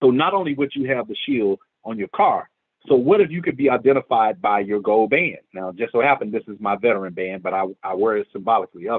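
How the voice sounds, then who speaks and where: A man with an American accent speaks at a medium pitch and a fairly quick pace. His intonation is lively, with big swings in loudness. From Memphis, Tennessee (US South). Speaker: community organizer, military veteran. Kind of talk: presentation. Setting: screen-share video. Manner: fast.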